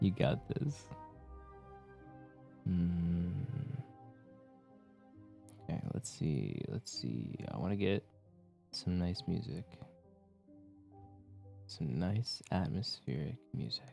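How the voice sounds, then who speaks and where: Very deep, low-pitched male speech, very slow with long, frequent pauses, a relaxed tone and very wide pitch swings over background music. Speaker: Twitch streamer. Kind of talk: casual livestream chat with viewers. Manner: soft, relaxed.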